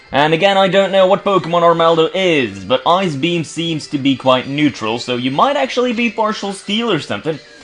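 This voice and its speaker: Music in the background beneath very wide swings in pitch. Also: man. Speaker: gaming video creator. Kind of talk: let's play commentary. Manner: fast; halting, searches for words.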